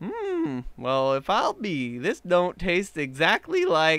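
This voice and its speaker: Putting on a character voice, a man drawls at a very slow pace in a high pitch. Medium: read story. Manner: folksy, drawling.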